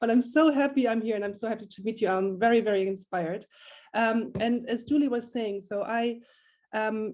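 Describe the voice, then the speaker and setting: A woman's fairly high voice at a fairly quick pace, with fairly even intonation. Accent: German. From Germany. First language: German. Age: 30s. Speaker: community founder. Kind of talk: panel discussion. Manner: hesitant, many fillers.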